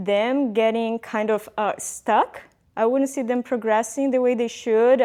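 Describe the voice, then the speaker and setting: In a Portuguese accent, a woman with a fairly high pitch talks at a fairly quick pace with fairly even intonation against a quiet background. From Brazil. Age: 30s. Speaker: former engineer turned fitness coach. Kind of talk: personal vlog monologue.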